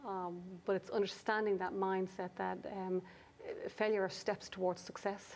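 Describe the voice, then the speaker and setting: A woman's medium-pitched voice in an Irish accent, with fairly even intonation. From Ireland. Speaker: business coach. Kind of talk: interview discussion. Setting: studio.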